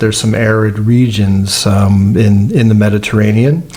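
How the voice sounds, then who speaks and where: A fairly low-pitched man with an American accent and fairly even intonation, amid noticeable background noise. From United States. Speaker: olive oil producer. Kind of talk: podcast interview. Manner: hesitant, many fillers.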